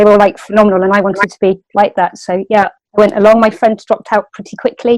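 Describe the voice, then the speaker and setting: Talking very fast with hardly any pauses, a woman with a West Country accent keeps a medium pitch and fairly even intonation. Her loudness swings widely, and the sound is dry and close with no echo. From West Country, England (near Bristol). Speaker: martial arts instructor. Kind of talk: interview. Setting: podcast.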